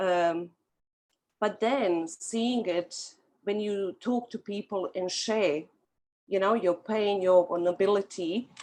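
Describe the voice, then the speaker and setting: A woman's very slow speech in a strong Bosnian accent, medium in pitch with fairly even intonation. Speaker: author. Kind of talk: testimony.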